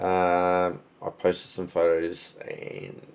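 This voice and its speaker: This man's voice is very deep and low in pitch. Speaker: model railway hobbyist YouTuber. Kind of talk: casual tutorial. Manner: hesitant, many fillers.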